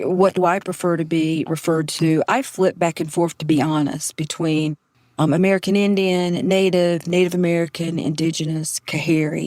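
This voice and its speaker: A woman with a fairly low pitch speaks at a moderate pace with fairly even intonation, very even loudness and hardly any pauses. The sound is dry and close, with no echo. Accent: strong Southern US. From Southeastern North Carolina. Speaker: professor. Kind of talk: podcast interview.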